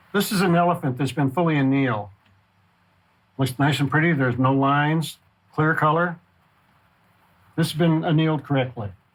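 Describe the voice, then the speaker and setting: A man's fairly high, somewhat breathy voice with ordinary pitch variation, very even loudness, and long, frequent pauses. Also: fairly quick pace. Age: 70s. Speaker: glassblower. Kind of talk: documentary interview. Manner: hesitant with fillers.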